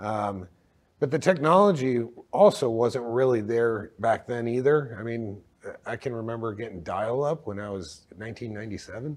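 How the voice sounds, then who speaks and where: At a fairly slow pace, a man speaks in an unremarkable speaking voice of medium pitch with ordinary pitch variation and big swings in loudness. The recording is very clean, with a silent background. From Texas, moved from Michigan as a child. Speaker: healthcare company co-founder. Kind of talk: interview.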